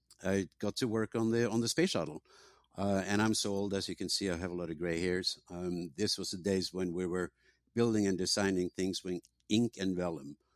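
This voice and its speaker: A man with a Norwegian accent and a very deep, low voice, at a moderate pace with fairly even intonation, in a very clean recording with a silent background and a dry, close sound with no echo. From Norway. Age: old. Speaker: tech company founder. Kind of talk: interview.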